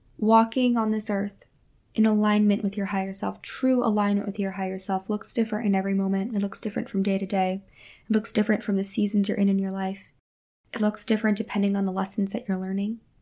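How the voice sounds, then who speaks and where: Dark, mellow and warm in tone, the voice moves at a very fast pace with monotone, flat intonation in a very clean recording with a silent background. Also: woman, medium pitch for a woman. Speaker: spiritual podcast host and energy healer. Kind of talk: solo monologue, spiritual talk. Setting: home recording at a mic. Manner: warm, conversational, reflective.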